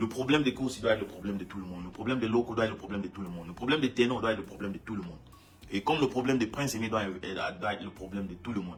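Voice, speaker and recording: A man's very fast speech at a fairly low pitch, with ordinary pitch variation and big swings in loudness. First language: English (speaking French). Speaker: musician. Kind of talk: casual monologue statement. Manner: halting, many repetitions.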